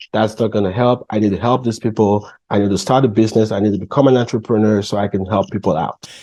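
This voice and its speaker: Delivered with a Cameroonian accent in a dark, mellow tone, the speech runs very fast with hardly any pauses and fairly even intonation over a quiet background. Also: man, fairly low pitch for a man. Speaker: entrepreneur. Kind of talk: interview.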